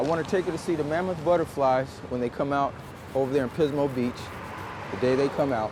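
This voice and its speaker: There is noticeable background noise as a man talks at a fairly quick pace. His pitch is fairly high, with ordinary variation. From US Midwest, St. Louis, Missouri. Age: 60s. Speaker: formerly incarcerated shoe shiner. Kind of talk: casual chat.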